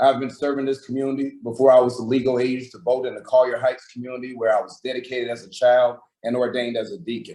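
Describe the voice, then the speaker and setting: A man with an American accent at a very fast pace, monotone and flat in intonation, with big swings in loudness. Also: medium pitch for a man. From Atlanta, Georgia. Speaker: political candidate. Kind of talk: candidate forum statement.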